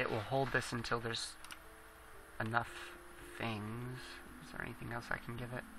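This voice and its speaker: A man mumbles at a moderate pace and medium pitch, with long, frequent pauses. His intonation is monotone and flat, while his loudness swings widely. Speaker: gaming video creator. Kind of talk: gameplay commentary. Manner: mumbling; halting.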